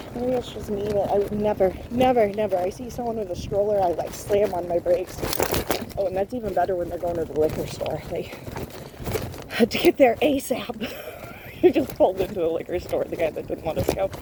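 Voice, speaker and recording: With noticeable background noise behind her, a woman talks at a fairly quick pace with a medium pitch and lively intonation. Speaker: vlogger. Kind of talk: casual chat. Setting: outdoors. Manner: loud; fast.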